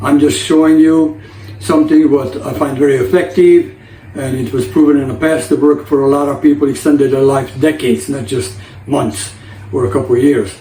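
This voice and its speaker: A man with a fairly high pitch and ordinary pitch variation talks at a fairly quick pace, with audible room echo and noticeable background noise. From Hungary. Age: 60s. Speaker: lifestyle vlogger. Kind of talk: casual vlog talk to camera.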